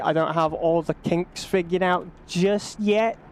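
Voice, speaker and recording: Noticeable background noise fills the recording. The words come at a very slow pace. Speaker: gaming streamer. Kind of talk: live gameplay stream chat. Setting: home streaming setup on PC. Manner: loud.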